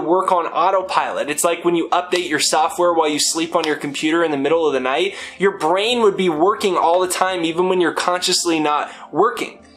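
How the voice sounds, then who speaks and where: A high-pitched man at a fairly quick pace, ordinary pitch variation, noticeable background noise behind him. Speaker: self-help speaker. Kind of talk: motivational talk. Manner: fast; animated.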